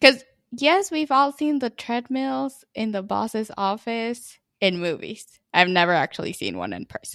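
A woman speaks at a fairly high pitch and a fairly slow pace, with very wide pitch swings and big swings in loudness. The sound is dry and close with no echo, on a very clean recording with a silent background. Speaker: podcast co-host. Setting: studio in Chicago.

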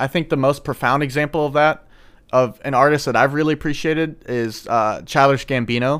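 This man has a normal speaking voice with an American accent and a fairly high pitch. He talks at a moderate pace with fairly even intonation. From St. Louis, Missouri. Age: 20s. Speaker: college podcast co-host. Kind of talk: casual chat.

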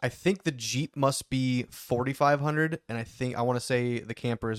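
Recorded very cleanly against a silent background, a man talks at a moderate pace and medium pitch with ordinary pitch variation, the sound dry and close with no echo. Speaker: podcast co-host, off-road jeep hobbyist. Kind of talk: casual chat. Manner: halting, many fillers.

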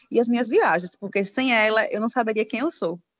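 A woman with a fairly high voice, talking at a very fast pace against a quiet background. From Aracaju, Sergipe, northeast Brazil. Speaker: psychologist and travel blogger. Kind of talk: casual interview.

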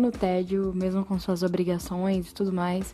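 A woman speaks with a dark, mellow tone at a medium pitch. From Brazil, São Paulo. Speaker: podcast host. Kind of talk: casual monologue.

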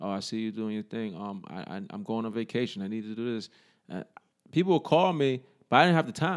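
With a New York accent, a man speaks fairly quickly at a medium pitch, his voice making very wide pitch swings and big swings in loudness, in a very clean recording with a silent background. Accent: New York City. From New York City, the Bronx. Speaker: army veteran and fitness trainer. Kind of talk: casual interview.

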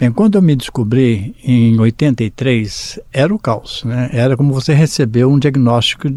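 Fairly slow in pace, this voice carries a dark, mellow tone. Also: man. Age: 70s. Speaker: person living with HIV. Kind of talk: testimony.

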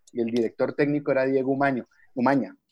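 A man with a Valle del Cauca Colombian accent, a fairly high pitch and a fairly slow pace. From Colombia, Cali. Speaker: psychology professor. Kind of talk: radio talk show. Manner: halting, repeats words.

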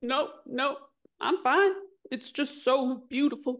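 Doing a put-on character voice, a woman sounds strained at a high pitch and a moderate pace. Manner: tearful, voice strained.

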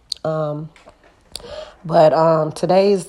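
A woman speaks with a very deep, low pitch and fairly even intonation. Noticeable background noise runs behind her. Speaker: podcast host. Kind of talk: casual monologue podcast. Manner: many filler ums.

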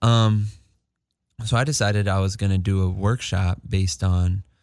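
A man speaks with a Californian accent at a fairly low pitch and a fairly slow pace. The recording is very clean, with a silent background. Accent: Californian American English. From Los Angeles, San Fernando Valley. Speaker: community organizer and recording artist, formerly incarcerated. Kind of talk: interview.

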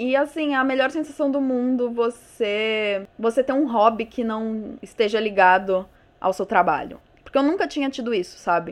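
Lively in her intonation, a woman with a fairly high pitch speaks at a moderate pace. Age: 20s. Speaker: podcaster and YouTuber. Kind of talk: solo casual monologue. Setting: alone at a microphone. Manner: animated, informal.

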